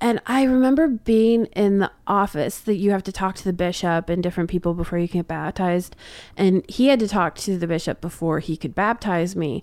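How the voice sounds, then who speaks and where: On a very clean recording with a silent background, a plain, everyday voice goes at a fairly quick pace, its pitch varying in an ordinary way. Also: woman, medium pitch for a woman. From Atlantic Canada. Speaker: comedian. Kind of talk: casual chat.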